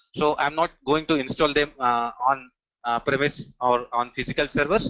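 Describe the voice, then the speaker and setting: A man with an Indian accent talks at a fairly high pitch, keeping his loudness very even and his intonation fairly even. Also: moderate pace. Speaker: technical trainer. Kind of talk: online training demo session. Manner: frequent filler hesitations.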